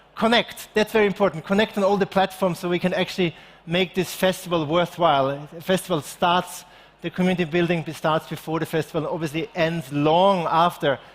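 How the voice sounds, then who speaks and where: A high-pitched man speaks at a fairly quick pace with fairly even intonation. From Austria. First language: German. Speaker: circular economy expert, keynote speaker. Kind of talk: keynote talk. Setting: stage with live audience. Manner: fast.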